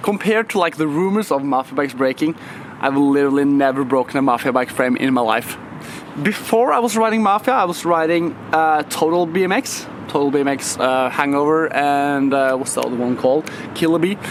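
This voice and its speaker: Over noticeable background noise, a man with a non-native accent speaks fairly quickly in a fairly high voice. His loudness stays very even and his pitch varies in an ordinary way. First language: not English. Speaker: BMX rider and YouTuber. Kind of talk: casual vlog talk to camera. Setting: skatepark. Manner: casual, filler-heavy.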